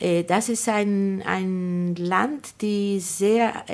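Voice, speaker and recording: This is a woman speaking at medium pitch. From Argentina. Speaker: publisher and writer. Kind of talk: interview. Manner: halting.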